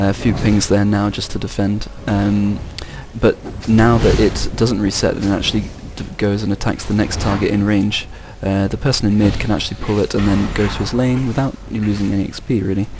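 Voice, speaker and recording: A man talks fairly quickly at a fairly low pitch in a flat monotone. Room echo and noticeable background noise are present. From England. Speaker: game commentator. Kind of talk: live commentary.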